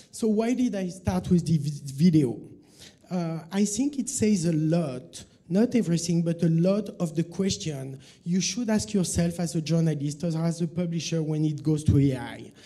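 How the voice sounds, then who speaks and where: Speaking at a moderate pace, a man with a high pitch and a dark, mellow tone uses lively intonation. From France. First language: French. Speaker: journalist and media consultant; conference presenter. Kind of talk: conference talk. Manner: hesitant, many fillers. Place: hall.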